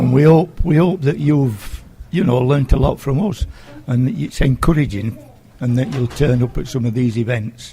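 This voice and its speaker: Noticeable background noise runs under this recording. A man of medium pitch talks at a moderate pace. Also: ordinary pitch variation. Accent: South Yorkshire. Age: 70s. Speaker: community group chairman. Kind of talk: radio interview. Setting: school.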